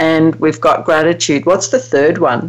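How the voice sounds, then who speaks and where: A woman speaks fairly slowly while noticeable background noise carries on behind her. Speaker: radio show host. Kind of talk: radio interview. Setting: radio show.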